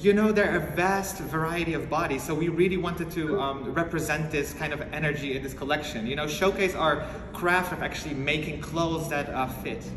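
A man talks at a moderate pace with a high pitch. His pitch varies in an ordinary way over noticeable background noise. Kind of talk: interview answer. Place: home room. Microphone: phone near.

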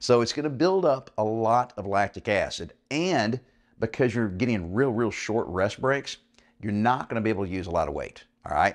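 A man talks at a moderate pace, his pitch varying in an ordinary way, with a quiet background. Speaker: fitness coach. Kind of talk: tutorial. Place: home room.

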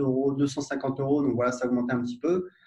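Noticeable background noise sits behind a man whose medium-pitched voice has flat, monotone intonation. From France, Paris suburbs (Gennevilliers). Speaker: entrepreneur, software founder. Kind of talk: casual interview conversation.

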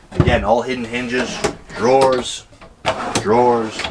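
Speech at a moderate pace comes through with noticeable background noise. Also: man. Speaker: presenter. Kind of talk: product walkthrough tour. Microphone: camera far.

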